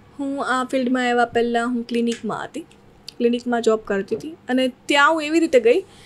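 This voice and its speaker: A woman speaks in a high voice with ordinary pitch variation and big swings in loudness. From Saurashtra, Gujarat (near Junagadh), raised in Surat; Gujarat. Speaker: social media creator and music video actress; social media creator, music video actress. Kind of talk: casual interview. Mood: relaxed, smiling. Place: studio. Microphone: studio mic.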